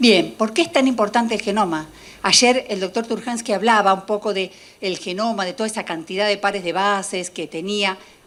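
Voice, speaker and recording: The speaker is a woman with a medium pitch and ordinary pitch variation. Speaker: molecular biologist. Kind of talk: lecture. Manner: fast.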